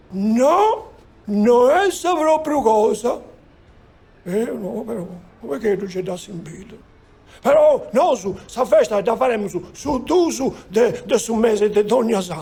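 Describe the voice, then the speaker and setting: In a cartoonish character voice, a man talks at a fairly slow pace with a high pitch, lively intonation and long, frequent pauses. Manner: rambling, folksy.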